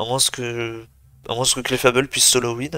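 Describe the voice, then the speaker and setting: A man's bright, sharp tone at a medium pitch. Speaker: video game commentator. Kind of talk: live commentary. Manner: fast.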